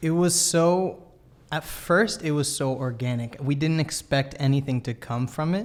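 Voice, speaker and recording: A man with a normal speaking voice, pitched fairly high, talks at a moderate pace with ordinary pitch variation. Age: 20s. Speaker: musician. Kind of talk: casual chat.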